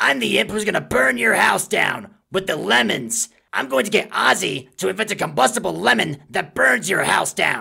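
A man puts on a character voice at a medium pitch, swinging very widely up and down. He keeps a moderate pace with hardly any pauses. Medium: role play. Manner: angry, ranting.

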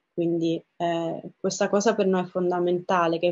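A woman talks with monotone, flat intonation over a quiet background. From southern Italy, Reggio Calabria; southern Italy. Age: 30s. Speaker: photographer and festival director. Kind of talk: personal interview monologue; interview answer. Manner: hesitant, many fillers and repetitions. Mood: warm, reflective. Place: home room. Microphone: webcam.

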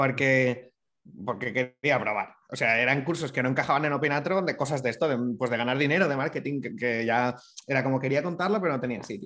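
A man's medium-pitched voice with ordinary pitch variation at a fairly quick pace over a quiet background. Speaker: digital entrepreneur; interview guest. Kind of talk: casual interview chat. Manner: fast. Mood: relaxed conversational. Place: home room. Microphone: video call.

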